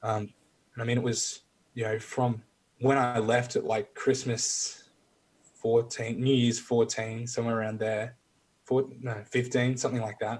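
A man's slow, somewhat breathy speech with an Australian accent, flat monotone intonation and long, frequent pauses. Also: medium pitch for a man. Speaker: military veteran. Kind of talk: casual chat.

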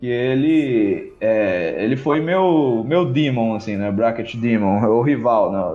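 A man talks at a very slow pace. Audible room echo is in the recording. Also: medium pitch for a man, lively intonation. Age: 20s. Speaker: competitive video game player. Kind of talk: casual chat.

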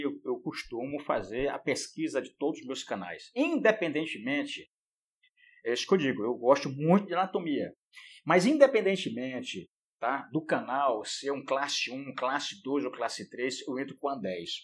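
With big swings in loudness, a man with a fairly high pitch speaks using lively intonation. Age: 60s. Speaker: endodontist professor. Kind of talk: casual chat. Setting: video call.

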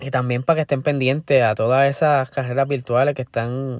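In a very clean recording with a silent background, a man speaks at a moderate pace. His pitch is medium, and his intonation is monotone and flat. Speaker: motorsport podcast host. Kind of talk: solo podcast commentary.

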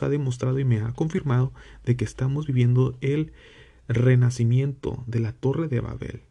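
At a moderate pace, a man speaks at a medium pitch in a dark, mellow tone that is somewhat breathy, with fairly even intonation. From Mexico. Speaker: religious podcast host. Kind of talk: religious teaching. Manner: halting.

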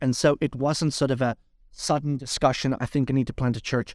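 Heard in a very clean recording with a silent background and a dry, close sound with no echo, a man with an unremarkable speaking voice talks at a fairly high pitch with fairly even intonation. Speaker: pastor and entrepreneur. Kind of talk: casual interview.

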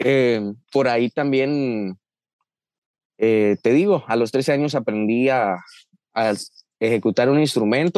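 A man with a medium pitch speaks at a fairly slow pace, with ordinary pitch variation and very even loudness. Long, frequent pauses break up the speech, and the sound is dry and close with no echo. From Guatemala, Chiquimula. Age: 20s. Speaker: young migrant. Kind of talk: interview.

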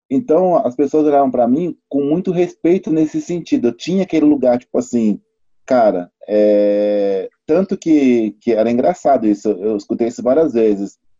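A man speaks at a medium pitch and moderate pace with lively intonation. His tone is dark and mellow, in a dry, close sound with no echo. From São Paulo, south zone. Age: 40s. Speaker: former professional basketball player. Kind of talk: casual discussion.

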